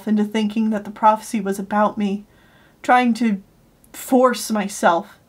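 Intonation remains fairly even. The voice is an unforced reading voice.

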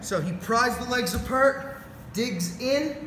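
Speaking very slowly with ordinary pitch variation, a man is heard with audible room echo and light background noise. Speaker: grappling coach. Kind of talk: tutorial. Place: gym. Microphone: camera far.

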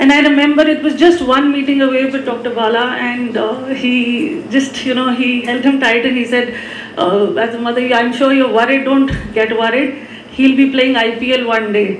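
Fairly even intonation over light background noise, with audible room echo. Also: woman, high pitch for a woman, moderate pace. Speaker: mother of a heart transplant patient. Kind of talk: personal testimony. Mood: grateful, emotional, warm. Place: hall. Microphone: podium.

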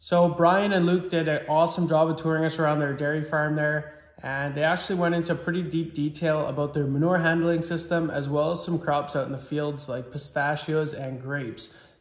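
With audible room echo, a man at a fairly high pitch talks at a fairly quick pace in a flat monotone, with hardly any pauses. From Saskatchewan, Canada. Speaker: farm vlogger. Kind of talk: casual vlog narration. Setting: outdoors on a farm. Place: home room. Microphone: phone near.

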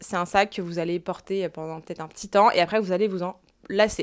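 The background is quiet as a woman talks. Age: 20s. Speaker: fashion YouTuber and luxury reseller; fashion vlogger. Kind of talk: casual vlog to camera. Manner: casual with fillers. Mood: chatty, opinionated. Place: home room. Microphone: lapel.

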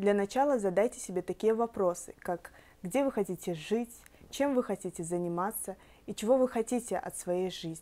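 Her voice sits at a medium pitch with a dark, mellow tone as this woman talks at a moderate pace. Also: ordinary pitch variation. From Belarus. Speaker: interviewee, client testimonial. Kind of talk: interview answers. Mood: calm, grateful. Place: home room.

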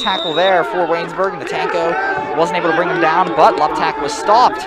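A man speaks in an energetic, excited tone at a fairly quick pace. Music plays in the background. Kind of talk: live football commentary, play-by-play with analyst remarks. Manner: quick, energetic, excited call of the action; occasionally hesitant and uncertain when a flag flies.

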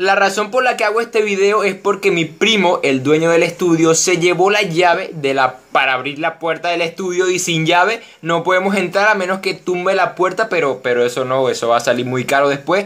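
At a moderate pace and with hardly any pauses, a high-pitched man speaks with ordinary pitch variation. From Venezuela. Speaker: gaming YouTuber. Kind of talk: casual vlog talk to camera. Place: home room. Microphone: phone near.

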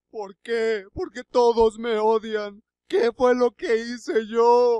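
A man in a put-on character voice speaks at a very slow pace and an extremely high pitch. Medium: dub. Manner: melodramatic.

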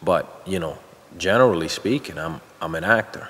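A man with a very deep, low pitch at a moderate pace. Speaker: actor being interviewed. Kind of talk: interview answer. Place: studio.

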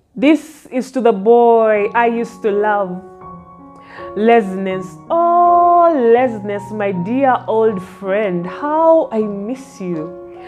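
Faint music plays in the background while a woman with a fairly high pitch speaks at a very slow pace with lively intonation. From Africa. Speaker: poet. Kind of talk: spoken word poetry. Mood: wistful, dramatic. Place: home room. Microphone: phone near.

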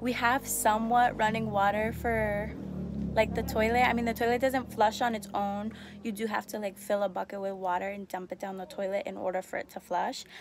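Faint music plays in the background as a woman talks at a fairly quick pace with fairly even intonation, the sound dry with no echo. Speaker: expat host giving a tour. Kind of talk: casual vlog chat. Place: home room. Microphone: phone near.

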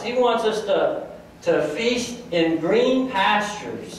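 A man speaks at a very slow pace in a high pitch with ordinary pitch variation. Strong room echo and light background noise are present. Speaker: pastor. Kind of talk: sermon delivered to a congregation. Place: church.

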